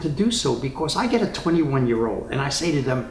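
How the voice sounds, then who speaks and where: A man with a New York accent at a fairly quick pace, lively intonation, audible room echo and music in the background. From New York City (Spanish Harlem). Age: 80s+. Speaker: retiree interviewee. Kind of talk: interview.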